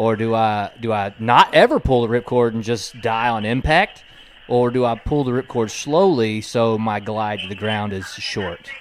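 A man speaks at a moderate pace with a medium pitch and fairly even intonation. Noticeable background noise runs behind him. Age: 30s. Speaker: podcast host. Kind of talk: casual chat. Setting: studio.

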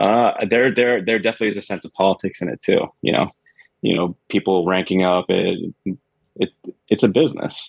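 A man talks at a fairly quick pace with an American accent. His pitch varies in an ordinary way. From Queens, New York. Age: 30s. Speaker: guest, chemical engineer and creative. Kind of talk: casual interview chat.

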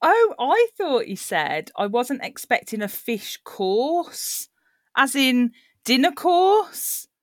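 A woman with a Birmingham accent speaks at a very slow pace in a high pitch, her voice swinging very widely in pitch, captured in a very clean recording with a silent background and a dry, close sound with no echo. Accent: Birmingham (Brummie). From Birmingham, England. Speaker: book club host. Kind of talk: casual chat over drinks.

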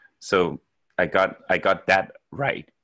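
Speaking at a very slow pace with a Danish accent, a man has a bright, sharp tone in a dry, close sound with no echo on a very clean recording with a silent background. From Denmark. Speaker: software developer. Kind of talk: podcast interview. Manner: hesitant, many fillers.

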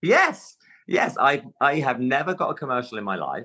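A man with a London accent talks at a fairly slow pace. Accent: London English, can switch to RP. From London, England. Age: 50s. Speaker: stage actor. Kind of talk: casual interview chat. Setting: video call from dressing room.

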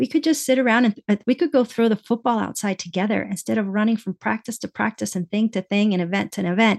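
The woman has an ordinary speaking voice at medium pitch with ordinary pitch variation and a fairly quick pace. The sound is dry and close, with no echo. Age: 50s. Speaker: cancer survivor and nonprofit director. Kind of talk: interview.

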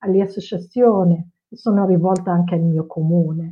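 At a fairly slow pace, a woman with a medium pitch speaks in a monotone, flat intonation. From Morocco (Casablanca). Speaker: cultural mediator. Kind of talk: panel discussion.

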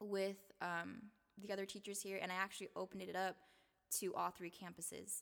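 At a fairly quick pace with long, frequent pauses, a woman with an American accent speaks at medium pitch in flat, monotone intonation. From Seattle (South Seattle, Rainier Beach). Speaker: K-12 teacher. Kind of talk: casual interview.

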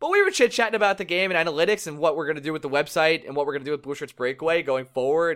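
Words come at a very fast pace in a very clean recording with a silent background. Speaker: hockey podcast host. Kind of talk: casual chat. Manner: loud.

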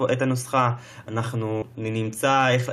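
A man talks at a medium pitch with ordinary pitch variation. His is a plain, everyday voice. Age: 20s. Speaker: podcast host. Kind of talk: casual chat.

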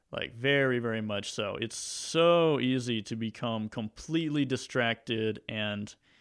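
This man talks with a Southern US accent at a medium pitch and a fairly slow pace, with ordinary pitch variation. The recording is very clean, and the background is silent. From US South, Mississippi. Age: 20s. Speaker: YouTube maker. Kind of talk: casual chat. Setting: studio.

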